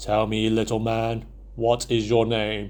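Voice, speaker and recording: Using a booming put-on character voice, a man speaks fairly slowly at a medium pitch with monotone, flat intonation. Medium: read story. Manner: scornful, menacing.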